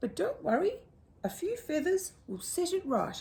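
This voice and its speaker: A woman puts on a character voice at an extremely high pitch, swinging very widely up and down at a moderate pace. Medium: read story. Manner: fluttery, sighing.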